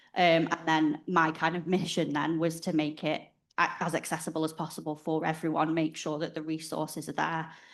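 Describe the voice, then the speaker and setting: In a northwest England accent, a woman talks at a fairly quick pace in a very deep, low pitch with monotone, flat intonation and a quiet background. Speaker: parent of child with rare disease. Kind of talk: personal introduction at a conference.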